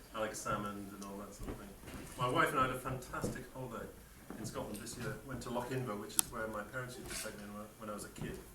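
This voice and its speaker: A man with an English accent talking very fast at medium pitch, with audible room echo and noticeable background noise. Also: ordinary pitch variation, big swings in loudness. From northeast England, Sunderland. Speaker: scientist giving a toast. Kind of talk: after-dinner toast speech.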